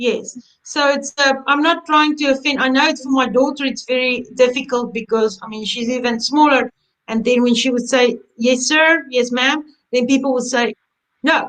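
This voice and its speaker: A woman's high-pitched voice at a moderate pace with fairly even intonation. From South Africa. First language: Afrikaans. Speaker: embroidery instructor. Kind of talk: webinar chat. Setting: online webinar.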